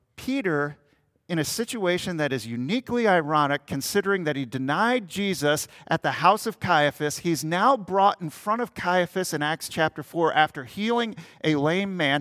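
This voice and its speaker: A man speaks at a moderate pace with an American accent, his pitch high and his tone bright and sharp. The recording is very clean with a silent background, and the sound is dry and close with no echo. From Minnesota. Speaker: pastor. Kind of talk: sermon.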